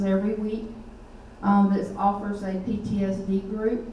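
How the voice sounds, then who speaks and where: Over noticeable background noise and audible room echo, a woman with a Southern US accent speaks at a medium pitch in a monotone, flat intonation. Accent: Southern US (Georgia). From US South, Middle Georgia. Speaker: army veteran, nonprofit director. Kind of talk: public talk. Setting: meeting hall with audience.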